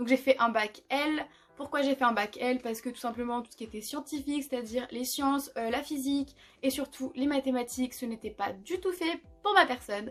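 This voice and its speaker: Her pitch is high, and this woman speaks with ordinary pitch variation. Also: moderate pace, big swings in loudness. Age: 20s. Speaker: psychology student. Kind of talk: casual talk to camera.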